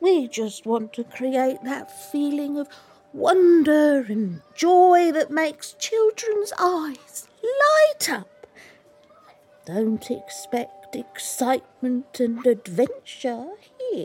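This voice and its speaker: Over faint background music, a woman speaks at a very slow pace in a high pitch with very wide pitch swings. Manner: warm, motherly, folksy.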